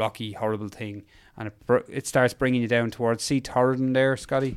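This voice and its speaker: In an Irish accent, the speaker talks in a monotone with flat intonation on a very clean recording with a silent background. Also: man. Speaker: endurance mountain biker. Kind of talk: interview storytelling.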